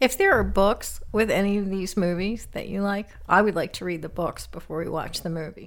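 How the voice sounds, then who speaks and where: A woman at a moderate pace with hardly any pauses. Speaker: co-host, mother of the host. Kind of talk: casual chat about movies. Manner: shy, introverted.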